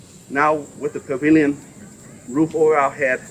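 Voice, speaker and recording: A man speaks at a moderate pace with a fairly high pitch. Noticeable background noise runs behind him. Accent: Southeast Asian. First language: Hmong. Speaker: politician. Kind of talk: public dedication speech.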